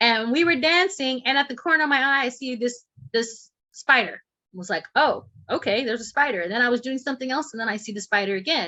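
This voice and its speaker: At a very fast pace, a woman with an El Paso accent talks at a high pitch with lively intonation. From Texas, El Paso. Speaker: shamanic healer and instructor. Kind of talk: online class.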